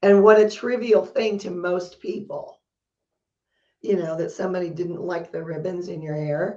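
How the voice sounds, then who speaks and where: A woman speaks at a fairly slow pace in an ordinary speaking voice, with medium pitch and ordinary pitch variation. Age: 60s. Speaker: podcast co-host. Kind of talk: casual chat.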